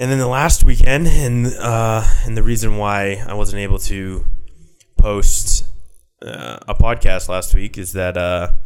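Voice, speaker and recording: Fairly low in pitch, a man talks at a fairly slow pace with an American accent. His pitch variation is ordinary. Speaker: podcast host. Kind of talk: casual monologue podcast. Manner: casual with many fillers.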